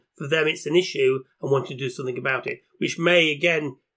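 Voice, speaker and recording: A man talking at a very fast pace, in a very clean recording with a silent background. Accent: British. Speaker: podcast host. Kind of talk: casual chat.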